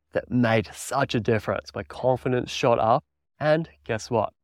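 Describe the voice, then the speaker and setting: A man with an Australian accent speaks at a moderate pace and medium pitch, with ordinary pitch variation, on a very clean recording with a silent background and a dry, close sound with no echo. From Australia, country Victoria. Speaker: podcast host and mountain bike coach. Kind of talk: solo podcast monologue.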